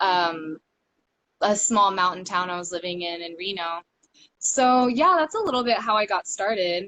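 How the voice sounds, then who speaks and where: A woman with an American accent has an unremarkable speaking voice. Her pitch sits in the middle with ordinary variation. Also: moderate pace. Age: 20s. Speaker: stripper and cam worker. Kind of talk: casual interview chat. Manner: many fillers, um and like.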